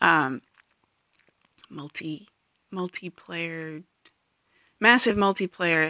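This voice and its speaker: The sound is dry and close without any echo, on a very clean recording over a silent background. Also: woman. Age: 40s. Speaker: podcast host. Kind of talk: solo monologue podcast. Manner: halting, many fillers.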